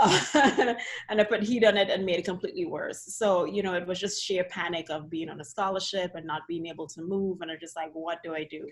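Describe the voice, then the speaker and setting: A woman with a Trinidadian accent talks at a fairly quick pace with hardly any pauses, medium pitch and ordinary pitch variation. Her loudness swings widely, and background noise is noticeable. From Trinidad and Tobago. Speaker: dance physical therapist. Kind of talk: casual interview chat. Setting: video call.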